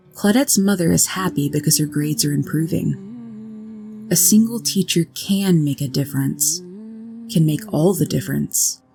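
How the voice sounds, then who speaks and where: A woman's calm, soothing voice, fairly low in pitch, with very wide pitch swings, a fairly slow pace, hardly any pauses, and music in the background. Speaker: sleep story narrator. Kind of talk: sleep story narration. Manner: calm, slow, soothing.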